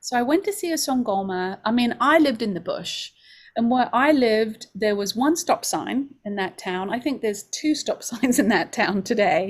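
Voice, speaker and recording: A woman's fairly high voice in an English accent, moderate in pace with lively intonation, on a very clean recording with a silent background. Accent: English, still noticeable. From London, England. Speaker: homeopathy school director. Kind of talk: open house presentation.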